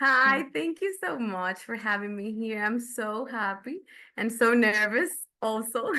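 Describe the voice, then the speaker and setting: A woman speaks at a fairly slow pace with a Dominican accent and lively intonation. Her tone is bright and sharp, her pitch fairly high. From Dominican Republic. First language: Spanish. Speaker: film and TV reviewer. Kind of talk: casual chat. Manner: halting.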